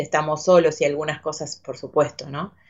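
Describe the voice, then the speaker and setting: A woman with a Rioplatense accent and fairly even intonation. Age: 40s. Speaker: actress. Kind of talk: casual interview chat. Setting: studio. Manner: halting, repeats words.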